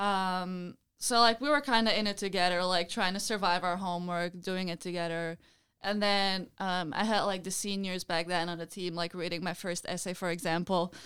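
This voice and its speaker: Delivered with a Belgian accent, the speech has a moderate pace and fairly even intonation. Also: woman, medium pitch for a woman. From Belgium. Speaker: college field hockey player. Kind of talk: interview.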